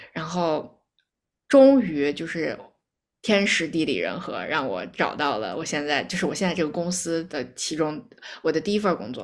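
A woman speaks at a moderate pace in a very deep, low voice with vocal fry. Her intonation is lively. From Beijing, China. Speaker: actuary, immigrant. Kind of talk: casual chat.

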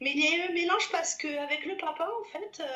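A woman's raised, projected voice, extremely high in pitch, bright and sharp in tone, fairly quick, with ordinary pitch variation. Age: 30s. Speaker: private detective and mother. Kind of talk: testimony.

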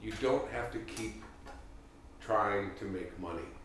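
A man speaks at a very slow pace. The room echo is audible and background noise is noticeable. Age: 50s. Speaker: improv comedian and podcast host. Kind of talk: casual chat.

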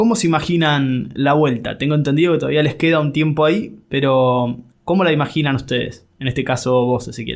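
Speaking fairly quickly with hardly any pauses, a man with an Argentine accent uses a fairly high pitch and ordinary pitch variation. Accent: Argentine Spanish (Rioplatense). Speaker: podcast host. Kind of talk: interview.

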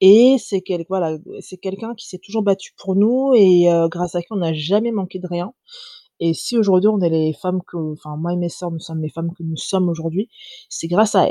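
A woman speaks with a dark, mellow tone at a medium pitch and moderate pace, with ordinary pitch variation. Her loudness swings widely in a dry, close sound with no echo. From France. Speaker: fashion brand founder. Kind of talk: interview. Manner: hesitant.

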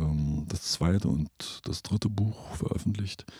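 A man's very deep, low voice, dark and mellow with vocal fry, at a fairly slow pace with lively intonation. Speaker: composer and podcast host. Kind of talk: casual chat. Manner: halting, many filler sounds.

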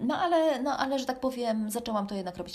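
A woman speaks with lively intonation while background noise is noticeable. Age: 40s. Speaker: running podcaster and blogger. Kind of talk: solo personal storytelling podcast.

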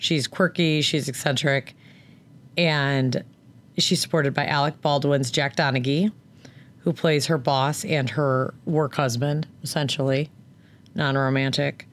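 A husky woman speaks at a fairly slow pace with a very deep, low pitch, very even loudness, and long, frequent pauses. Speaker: podcast co-host. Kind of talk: casual chat. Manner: animated.

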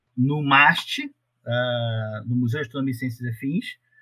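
A man speaks fairly slowly at a medium pitch with fairly even intonation. He has an unremarkable speaking voice. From Rio de Janeiro state, Brazil (Paracambi, Baixada Fluminense). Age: 40s. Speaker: astronomy researcher. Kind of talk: casual interview.

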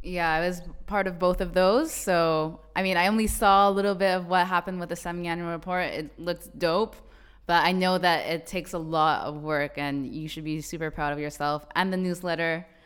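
Over a silent background in a very clean recording, a woman talks at a fairly quick pace. Her pitch is fairly low. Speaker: podcast host. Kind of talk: podcast intro and interview. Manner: animated.

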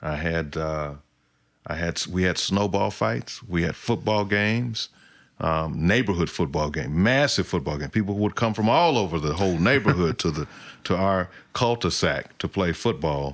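A speaker with an American accent talks at a moderate pace with lively intonation. The recording is very clean, with a silent background. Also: man, very deep, low pitch for a man. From Oklahoma, US. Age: 40s. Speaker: singer-songwriter and army veteran. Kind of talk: casual interview. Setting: recorded at his home.

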